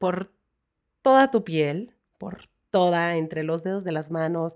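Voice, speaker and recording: A woman's fairly low voice at a very slow pace, on a very clean recording with a silent background. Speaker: podcast host and wellness guide. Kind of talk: casual chat; guided meditation. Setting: studio.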